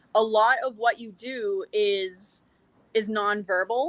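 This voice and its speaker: Dry and close with no echo, this recording has a woman with an American accent whose fairly high voice carries a bright, sharp tone. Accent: Boston accent, being toned down. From Boston area, US. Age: 30s. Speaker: professional wrestler. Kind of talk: podcast interview.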